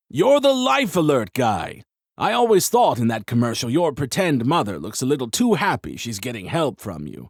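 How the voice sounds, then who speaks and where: Using a put-on character voice, a man at medium pitch cackles as he speaks at a moderate pace. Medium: read story. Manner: jovial, cackling.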